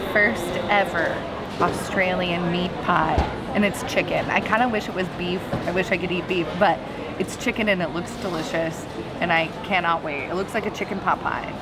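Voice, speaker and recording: Speech at a moderate pace with music in the background. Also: woman. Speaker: travel vlogger. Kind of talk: casual vlog chat. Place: market. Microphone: phone near.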